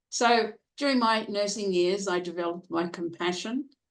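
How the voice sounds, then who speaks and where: A woman speaks in a plain, everyday voice. Her pace is fairly slow, with ordinary pitch variation. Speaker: professional speaker. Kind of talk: interview answer.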